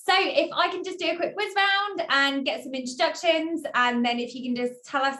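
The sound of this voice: A woman's bright, sharp tone at a moderate pace, ordinary pitch variation and audible room echo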